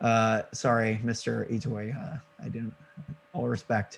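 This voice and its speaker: A man with a Missouri accent speaks at a fairly slow pace. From Missouri, St. Louis. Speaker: indie game developer. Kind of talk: casual interview chat.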